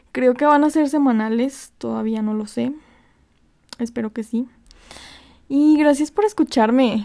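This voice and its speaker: In a dark, mellow tone, a woman talks fairly slowly. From northern Mexico. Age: 20s. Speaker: podcast host. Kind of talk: casual monologue.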